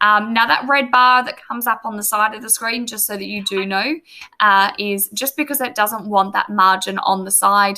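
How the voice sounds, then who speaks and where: Speaking with an Australian accent, a woman has a bright, sharp tone. Her pace is moderate and her intonation fairly even. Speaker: teacher. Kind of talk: tutorial. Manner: casual, filler words. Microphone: webcam.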